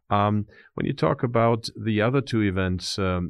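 Speaking with a German accent, a man keeps a fairly low pitch, a fairly slow pace, and fairly even intonation. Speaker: interviewer, professor. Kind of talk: interview. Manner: halting, many fillers.

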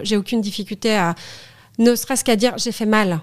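At a very fast pace, a woman talks with a fairly high pitch and ordinary pitch variation in a very clean recording with a silent background. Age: 40s. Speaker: studio photographer and federation president. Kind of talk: casual interview chat. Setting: in person, same room as host.

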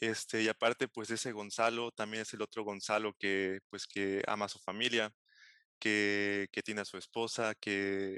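A man in a Veracruz Mexican accent speaks at a fairly slow pace and fairly low pitch, with monotone, flat intonation and a bright, sharp tone. The sound is dry and close with no echo, over a quiet background. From Mexico, Xalapa, Veracruz. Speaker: postdoctoral chemist. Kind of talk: interview.

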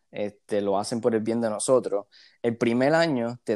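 A normal speaking voice from a man, fairly low and fairly quick, on a very clean recording with a silent background and a dry, close sound with no echo. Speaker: university student. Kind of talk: casual chat.

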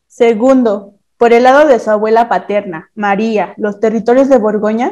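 At a very slow pace, the speaker's dark, mellow tone carries fairly even intonation. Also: woman. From Mexico City. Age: 20s. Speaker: university student. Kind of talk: reading aloud.

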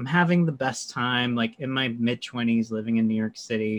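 A man's medium-pitched voice at a fairly slow pace, with ordinary pitch variation and a quiet background. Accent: American. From North Carolina. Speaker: meditation and astrology teacher. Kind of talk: casual interview chat. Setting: video call.

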